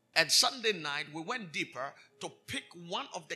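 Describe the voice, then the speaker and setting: At a moderate pace, a man with a high pitch speaks in an animated tone with lively intonation. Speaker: preacher. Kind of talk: preacher in full flow, sermon at a live convention. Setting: church service with live congregation. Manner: loud, animated call-and-response, urging the crowd to shout louder.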